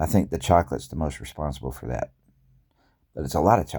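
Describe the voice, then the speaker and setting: A man speaks with a very deep, low pitch. His tone is dark and mellow, with vocal fry. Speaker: health vlogger. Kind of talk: casual monologue vlog. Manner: halting, with false starts.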